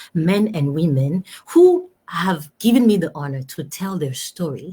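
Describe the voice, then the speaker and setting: Fairly low-pitched woman, somewhat breathy with a dark, mellow tone and ordinary pitch variation. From Togo. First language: French. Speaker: talk show host. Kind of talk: live stream talk show. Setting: live video stream. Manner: animated.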